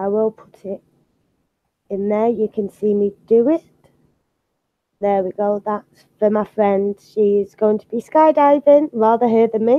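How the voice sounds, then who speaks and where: Speaking with a British accent, a woman uses a fairly high pitch with ordinary variation and big swings in loudness. Her pace is fairly slow, with long, frequent pauses. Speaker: art channel host. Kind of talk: casual chat. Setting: live video stream.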